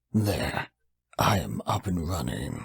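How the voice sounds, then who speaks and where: In a put-on character voice, a man sounds raspy at a very deep, low pitch. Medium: audio drama.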